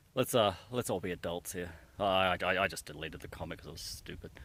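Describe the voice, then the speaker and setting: At a fairly quick pace, a man speaks in a bright, sharp tone. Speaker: hiking vlogger. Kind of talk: casual vlog monologue. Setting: outdoors on a hiking trail. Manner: hesitant, many fillers.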